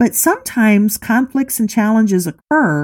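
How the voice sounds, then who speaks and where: Speaking at a moderate pace, a woman uses medium pitch, lively intonation and a dark, mellow, somewhat breathy tone. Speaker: life coach and podcast host. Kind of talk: motivational talk.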